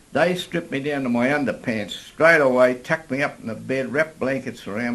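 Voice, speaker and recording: Ordinary pitch variation in an Australian accent. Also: man. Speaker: older adventure sportsman. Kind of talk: interview storytelling. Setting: outdoors in a park.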